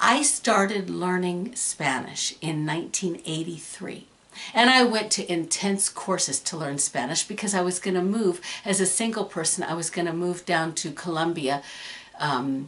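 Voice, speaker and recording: Over noticeable background noise, a woman speaks at a fairly low pitch with lively intonation. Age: 60s. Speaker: YouTuber. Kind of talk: casual Q&A video. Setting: room at home. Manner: hesitant, many fillers.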